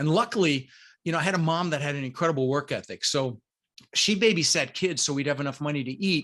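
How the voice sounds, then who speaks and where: A man's bright, sharp voice at a fairly high pitch, very fast, with ordinary pitch variation against a quiet background. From Denver, Colorado, US (immigrated from Netherlands at six). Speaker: real estate investor. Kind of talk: podcast interview.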